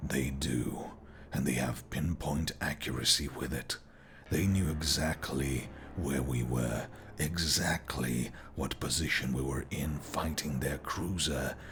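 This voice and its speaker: Over clear background noise, a man does a put-on character voice with a very deep, low pitch at a fairly slow pace. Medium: read story.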